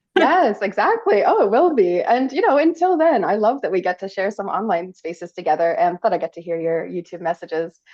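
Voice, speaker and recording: A woman with a Canadian accent talks with hardly any pauses, her pitch swinging very widely. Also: medium pitch for a woman, fairly quick pace. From Canada. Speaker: podcast host. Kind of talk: casual interview chat. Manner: animated, chatty.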